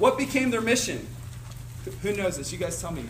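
A man with an American accent talks amid audible room echo. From Cincinnati, Ohio. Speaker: youth ministry staff speaker. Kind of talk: seminar talk.

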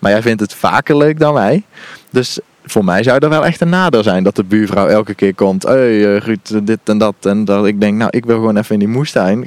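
A man talks at a moderate pace in a plain, everyday voice. His fairly low pitch shows ordinary variation, and the sound is dry and close with no echo. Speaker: gardening podcast co-host. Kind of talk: casual chat during a garden tour. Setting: outdoors in an allotment garden.

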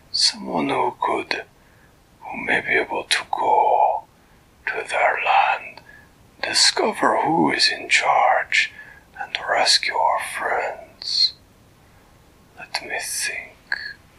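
Whispering in a put-on character voice, a man speaks at a very slow pace with long, frequent pauses. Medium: read story. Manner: earnest, measured, slightly formal.

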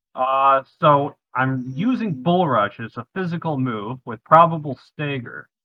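A man speaks at a fairly slow pace in a plain, everyday voice. His pitch is fairly high, with ordinary pitch variation. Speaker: tabletop game player. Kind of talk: casual banter in a game session.

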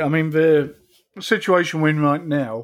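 In a very clean recording with a silent background, a man with a British accent speaks at a moderate pace. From UK. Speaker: podcast host and military veteran. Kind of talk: casual chat.

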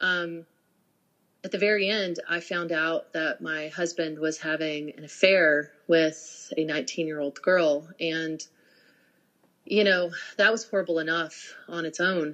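Very slow delivery with fairly even intonation marks this speech. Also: woman, fairly low pitch for a woman. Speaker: social worker and YouTube creator. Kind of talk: casual interview chat.

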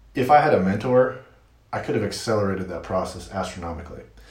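A man speaks with an American accent and ordinary pitch variation, with noticeable background noise and audible room echo around him. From US Midwest, Michigan. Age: 40s. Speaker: marketer and podcaster. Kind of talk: interview.

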